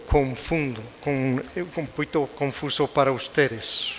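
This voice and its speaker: A man with a fairly high voice talks at a very slow pace, his intonation fairly even, over noticeable background noise. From United States. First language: English (speaking Spanish). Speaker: prosecutor and conference speaker. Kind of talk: lecture. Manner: halting.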